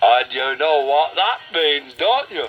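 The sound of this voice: A man's put-on character voice, fairly high in pitch, with lively intonation at a slow pace over faint music in the background.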